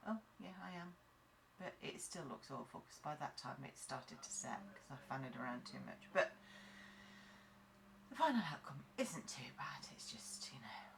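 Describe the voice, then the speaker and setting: A woman with a British accent speaks at a moderate pace. She leaves long, frequent pauses. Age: 40s. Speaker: nail tech tutorial creator. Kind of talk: tutorial. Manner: casual, chatty.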